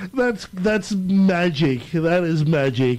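A man with a high pitch speaks in an Australian accent against noticeable background noise. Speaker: radio host. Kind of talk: radio interview.

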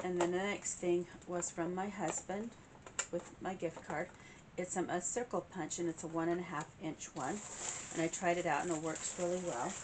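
A woman's fairly low voice at a moderate pace, fairly even in intonation, over noticeable background noise. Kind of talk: casual vlog chat. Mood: warm and cheerful. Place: home room. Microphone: camera far.

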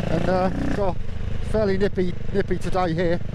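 Loud background noise fills the recording. The sound itself is dry, without any echo. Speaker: motovlogger. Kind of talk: casual vlog chat. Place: motorbike. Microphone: helmet.

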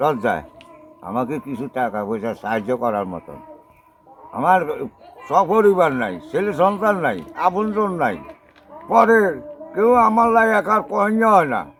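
With music in the background, a man speaks at a high pitch, his voice swinging very widely up and down. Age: 60s. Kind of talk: plea for help. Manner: halting.

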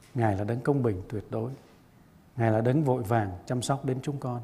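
At a moderate pace, the voice is somewhat breathy with a dark, mellow tone and ordinary pitch variation. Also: man. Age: 60s. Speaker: pastor. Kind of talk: sermon. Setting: church.

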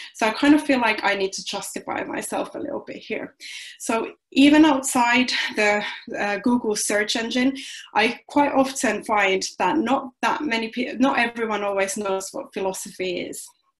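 With a Finnish accent, a woman speaks at a fairly high pitch and moderate pace, using ordinary pitch variation over a quiet background. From Finland. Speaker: philosophy doctoral researcher. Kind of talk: lecture. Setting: video call. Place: home room. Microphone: webcam.

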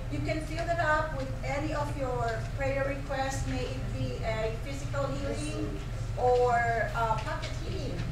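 A woman talks at a fairly slow pace. Room echo is audible, and background noise is noticeable. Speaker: prayer group member. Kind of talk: announcements. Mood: friendly, light humor. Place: hall. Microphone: camera far.

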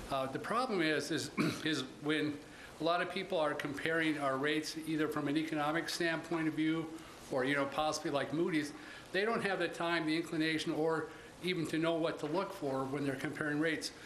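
Over light background noise with audible room echo, a man talks at a fairly quick pace, his loudness very even and intonation fairly even. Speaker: presenter. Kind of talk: meeting report. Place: meeting room. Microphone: podium.

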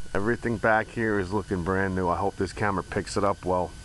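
A man's voice in a dry sound with no echo, over light background noise. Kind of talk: casual vlog chat. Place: street. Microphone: phone near.

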